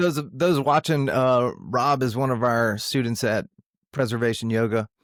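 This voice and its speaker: Using a normal speaking voice, a man talks fairly slowly at medium pitch, with very even loudness and ordinary pitch variation. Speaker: podcast host, yoga studio owner. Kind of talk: podcast interview questions. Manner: casual, conversational.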